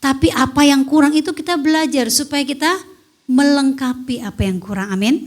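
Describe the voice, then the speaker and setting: The woman's voice sits at a high pitch. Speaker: women's fellowship preacher. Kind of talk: sermon. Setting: online church service. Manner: loud.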